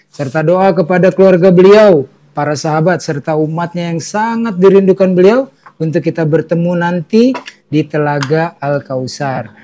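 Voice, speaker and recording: High male voice with ordinary pitch movement, delivered at a moderate pace. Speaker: Islamic talk show host. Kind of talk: religious talk show. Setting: studio with live audience. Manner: quiet.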